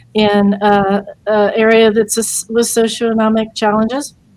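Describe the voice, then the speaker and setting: This woman talks with a US Midwestern accent. Her fairly high voice stays monotone and flat. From US Midwest, Portsmouth, Ohio. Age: 60s. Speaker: lawyer and veterans' advocate. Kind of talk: interview. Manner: halting.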